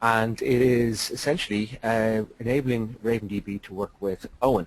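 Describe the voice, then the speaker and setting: With an Irish accent, a man is talking. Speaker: software developer. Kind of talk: webinar presentation. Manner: hesitant, many fillers.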